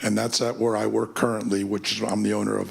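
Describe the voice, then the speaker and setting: An American-accented man with a fairly low pitch, plus audible room echo and noticeable background noise. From California. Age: 60s. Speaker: youth sports business owner. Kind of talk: public testimony at council meeting. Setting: council committee meeting.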